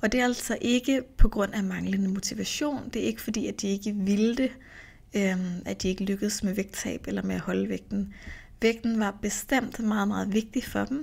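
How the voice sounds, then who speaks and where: Somewhat breathy and medium in pitch, a woman speaks at a moderate pace with fairly even intonation on a very clean recording with a silent background. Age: 30s. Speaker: nutrition coach and podcast host. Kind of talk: solo podcast monologue. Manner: casual, with filler sounds.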